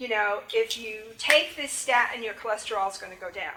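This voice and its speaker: Amid audible room echo, a woman speaks at a moderate pace with a fairly high pitch and ordinary pitch variation. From New England. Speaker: music therapy professor. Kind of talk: lecture.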